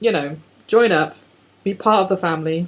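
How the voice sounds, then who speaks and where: A woman speaks with an English accent. Her intonation stays fairly even. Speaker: podcast co-host. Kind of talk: casual chat. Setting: at co-host's house, one shared microphone.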